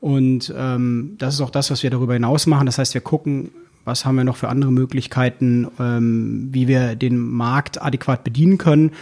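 A man's normal speaking voice at a medium pitch, fairly quick in pace, with fairly even intonation. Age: 30s. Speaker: key account manager at a newspaper. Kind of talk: casual interview.

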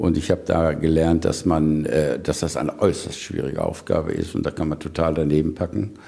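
This is a man talking. His voice sits at a very deep, low pitch. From Lower Rhine, western Germany (Neukirchen-Vluyn). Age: 70s. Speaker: politician and farmer. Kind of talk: radio interview. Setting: on his farm. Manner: hesitant, many fillers.

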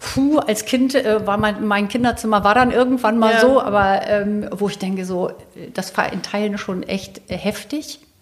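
Against noticeable background noise, a woman speaks with a fairly high pitch and fairly even intonation. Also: moderate pace. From northern Germany, Lower Saxony (Celle). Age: 50s. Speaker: interior and architecture journalist. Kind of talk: casual interview. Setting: at home in her kitchen.

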